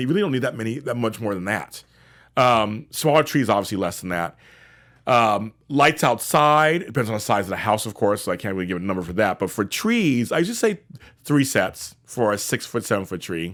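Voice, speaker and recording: A man with a normal speaking voice at medium pitch talks at a fairly quick pace with lively intonation. The recording is very clean, with a silent background. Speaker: professional organizer, show host. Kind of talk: tutorial. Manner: casual, repetitive.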